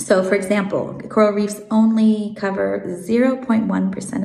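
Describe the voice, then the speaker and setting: An American-accented woman is heard with audible room echo and noticeable background noise. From Switzerland and South Africa, learned English in America. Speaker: marine biologist. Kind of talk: interview. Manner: hesitant, many fillers.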